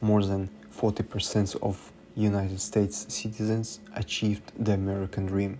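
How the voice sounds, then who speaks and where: A man speaks at a moderate pace with very even loudness and fairly even intonation. His tone is dark and mellow, and somewhat breathy. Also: fairly low pitch for a man. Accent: non-native. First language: not English. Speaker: student. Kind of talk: student presentation narration. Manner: unpolished diction.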